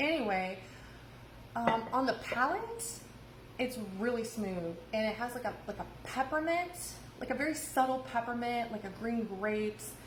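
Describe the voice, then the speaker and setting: A woman with an American accent talks at a fairly high pitch with ordinary pitch variation, pausing long and often. The room echoes audibly, and background noise is noticeable. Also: moderate pace. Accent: Midwestern, comes out at times. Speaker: bartender. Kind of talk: cocktail tutorial. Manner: casual, lots of filler words.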